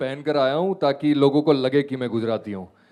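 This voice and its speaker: A man with a Gujarati accent and fairly even intonation. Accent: Gujarati accent in Hindi. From Gujarat, India. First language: Gujarati (speaking Hindi). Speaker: radio host. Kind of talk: panel discussion.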